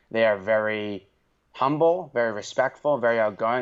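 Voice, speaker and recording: Speaking with a Boston accent, a man uses a medium pitch and ordinary pitch variation. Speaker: podcast host. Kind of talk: casual chat.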